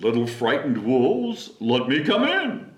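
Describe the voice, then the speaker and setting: A man puts on a character voice, talking at a moderate pace. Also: medium pitch for a man. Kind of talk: bedtime story. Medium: read story.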